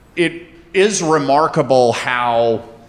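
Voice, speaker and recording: An American accent marks this man's speech. His pitch variation is ordinary, with noticeable background noise behind him. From US South, North Carolina. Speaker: storyteller. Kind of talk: live storytelling on stage. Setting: stage with audience.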